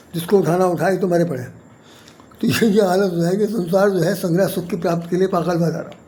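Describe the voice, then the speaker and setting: A man talks at a high pitch, with audible room echo and noticeable background noise behind him. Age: 70s. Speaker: poet and spiritual commentator. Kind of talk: spiritual talk to camera. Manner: repetitive, halting.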